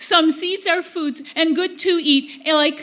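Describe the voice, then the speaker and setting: A woman performs a put-on character voice. Her pitch varies in an ordinary way. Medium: solo performance. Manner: hesitant, halting.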